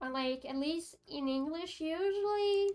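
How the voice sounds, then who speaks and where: A woman speaks in a Quebec accent at a high pitch. Her pace is fairly slow, with ordinary pitch variation. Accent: French Canadian accent in English. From Quebec, Canada. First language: French. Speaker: vtuber streamer. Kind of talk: casual chat. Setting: live stream. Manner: halting, many fillers.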